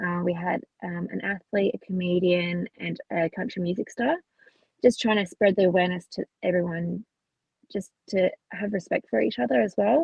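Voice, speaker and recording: With an Australian accent and vocal fry, a woman talks at a moderate pace. Her intonation is lively. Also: medium pitch for a woman. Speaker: truck driver. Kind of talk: interview answer.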